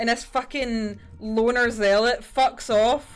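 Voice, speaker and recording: Over music in the background, a woman with a Scottish accent speaks at a high pitch. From Scotland. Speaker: livestreamer painting miniatures. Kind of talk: casual livestream chat. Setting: livestream.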